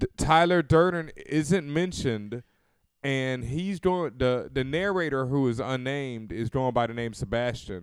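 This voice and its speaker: With an American accent, a man speaks at a medium pitch and a moderate pace. His tone is animated and his intonation lively. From US, Houston. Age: 30s. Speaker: podcast host. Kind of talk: casual chat.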